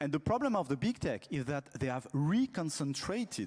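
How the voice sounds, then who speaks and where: A man speaks at a fairly high pitch with very wide pitch swings against a quiet background. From France. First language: French. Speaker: telecom regulator, conference panelist. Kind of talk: panel talk. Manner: halting, frequent fillers and repetitions.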